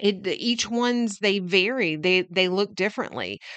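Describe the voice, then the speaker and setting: A woman speaks with lively intonation. The sound is dry and close with no echo, over a quiet background. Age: 40s. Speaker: podcast host, branding coach. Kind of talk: solo podcast tutorial.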